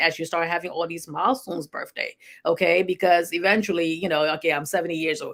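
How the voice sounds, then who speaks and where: Speaking very fast, a woman keeps her pitch fairly low. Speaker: health show host and nurse practitioner. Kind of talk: health talk monologue. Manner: casual, conversational with fillers.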